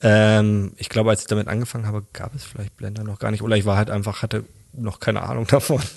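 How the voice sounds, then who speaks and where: A very fast man's voice, fairly low in pitch, with fairly even intonation. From Berlin, later Dutch border region. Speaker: freelance 3D artist. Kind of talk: interview, casual chat. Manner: hesitant, many fillers.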